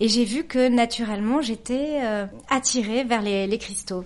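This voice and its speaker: A woman talks at a fairly slow pace in a plain, everyday voice with ordinary pitch variation. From French Basque Country. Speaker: crystal healer and make-up artist. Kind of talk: interview.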